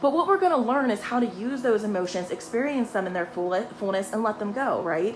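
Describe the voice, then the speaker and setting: Over noticeable background noise, a woman with a fairly high voice talks fairly quickly in an animated tone. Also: lively intonation. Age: 30s. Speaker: intuitive life coach. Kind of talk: motivational talk. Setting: livestream. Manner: fast.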